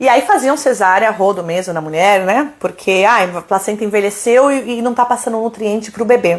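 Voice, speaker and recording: With an animated tone and fairly high pitch, a woman speaks at a moderate pace using ordinary pitch variation. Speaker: doula. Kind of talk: live Q&A stream.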